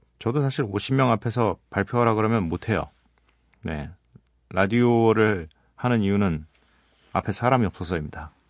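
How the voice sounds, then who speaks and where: Against a quiet background, a man speaks at a moderate pace with long, frequent pauses, his pitch fairly low with ordinary variation. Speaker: radio DJ. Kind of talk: late-night radio talk. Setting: radio studio. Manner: relaxed, conversational.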